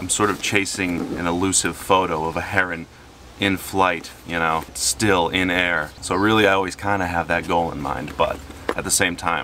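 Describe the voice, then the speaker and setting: With noticeable background noise behind him, a man speaks in a relaxed tone at a very deep, low pitch with monotone, flat intonation. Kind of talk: casual vlog monologue. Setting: outdoors in nature park. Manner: soft-spoken, lowered voice; relaxed, hesitant fillers.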